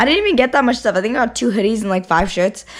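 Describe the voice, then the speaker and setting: Noticeable background noise surrounds the recording. A woman talks very fast. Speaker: vlogger. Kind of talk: casual vlog talk. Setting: own room. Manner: casual, filler-heavy.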